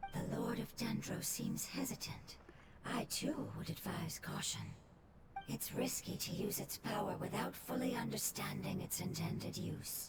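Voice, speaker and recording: In a put-on character voice, someone whispers at a moderate pace against loud background noise. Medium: video game. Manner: measured, serious.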